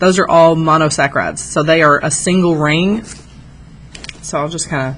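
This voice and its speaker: Amid noticeable background noise and audible room echo, a woman with a very deep, low pitch speaks with fairly even intonation. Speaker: high school biology teacher. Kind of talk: lecture. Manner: fast.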